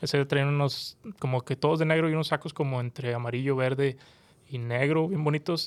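Recorded very cleanly against a silent background, a man talks at a moderate pace in a fairly high voice. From Mexico, Monterrey, Nuevo León. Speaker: podcast co-host. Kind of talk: casual chat. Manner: animated.

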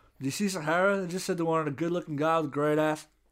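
The recording is very clean with a silent background. A man talks at a very fast pace in a fairly high pitch. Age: 20s. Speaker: podcast co-host. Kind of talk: casual chat.

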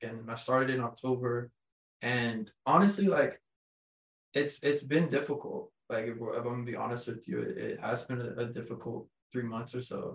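Somewhat breathy, this voice speaks at a moderate pace with an American accent. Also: man, medium pitch for a man, ordinary pitch variation. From Texas. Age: 20s. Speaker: construction company founder, former college football player. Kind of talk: casual interview chat. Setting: in-person studio recording.

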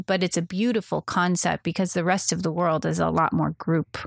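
A woman speaks at a fairly quick pace with a fairly low pitch, vocal fry and fairly even intonation. The recording is very clean and silent behind her, dry and close with no echo. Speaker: podcast co-host. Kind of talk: casual chat. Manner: laughs often.

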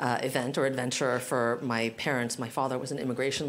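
Talking at a very fast pace, a woman with an American accent has a very deep, low pitch and monotone, flat intonation. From US West Coast, San Francisco. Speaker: general counsel. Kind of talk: live panel discussion. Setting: stage with audience.

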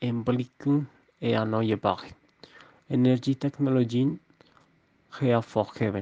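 A man's dark, mellow voice with ordinary pitch variation, dry and close with no echo. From Colombia, Bogotá. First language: Spanish (speaking German). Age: 20s. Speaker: podcast host. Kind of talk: scripted podcast discussion. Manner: halting.

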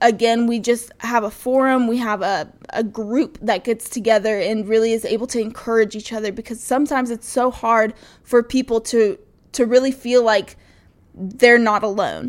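In a plain, everyday voice, a woman talks at a moderate pace with a fairly high pitch and fairly even intonation, on a very clean recording with a silent background. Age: 20s. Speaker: conservative education organizer. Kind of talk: podcast interview. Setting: studio.

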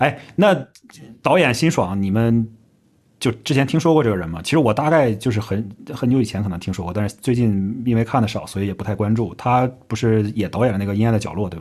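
Over a quiet background, a man at medium pitch talks at a very fast pace. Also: ordinary pitch variation. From Northeast China. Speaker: podcast host. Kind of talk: casual chat.

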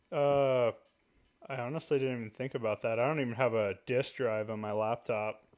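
Using a plain, everyday voice, a man keeps a fairly even intonation at a medium pitch and a moderate speed. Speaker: podcast host. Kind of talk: casual chat. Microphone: new USB microphone.

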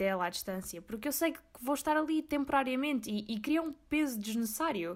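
A very clean recording with a silent background and lively intonation. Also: woman. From Azores, Portugal (Corvo). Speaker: podcaster. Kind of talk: personal monologue. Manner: casual, code-switching into English.

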